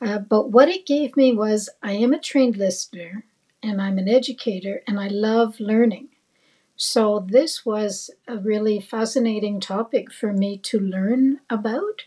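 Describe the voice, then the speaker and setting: A woman speaks at a fairly slow pace in a dark, mellow, somewhat breathy tone with ordinary pitch variation. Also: fairly high pitch for a woman. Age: 70s. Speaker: retired psychotherapist, investor. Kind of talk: interview.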